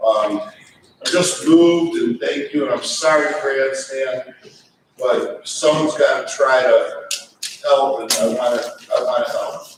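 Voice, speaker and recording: Amid audible room echo, a man talks at a fairly slow pace with long, frequent pauses. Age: 60s. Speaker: event guest. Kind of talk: impromptu speech.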